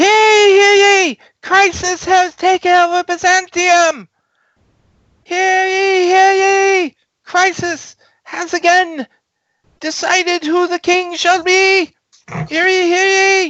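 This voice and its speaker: A squeaky, extremely high put-on character voice shouts loudly at a very slow pace, broken by long, frequent pauses. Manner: shouting, proclaiming.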